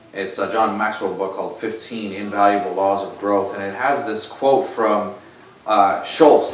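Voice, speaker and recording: A man's fairly low voice with fairly even intonation, set against noticeable background noise and audible room echo. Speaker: lay preacher. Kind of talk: sermon. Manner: loud.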